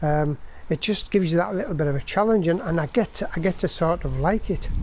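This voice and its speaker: High-pitched male voice with an English accent, very fast pace and ordinary pitch variation. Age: 60s. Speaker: motorcycle vlogger. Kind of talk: casual video monologue. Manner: informal, hesitant with fillers.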